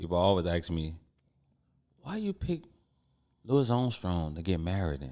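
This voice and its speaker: A man with a New Orleans accent, very deep and low in pitch, dark and mellow in tone, lively in intonation, at a moderate pace with long, frequent pauses. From New Orleans, Sixth Ward. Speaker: clothing brand owner. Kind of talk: casual chat.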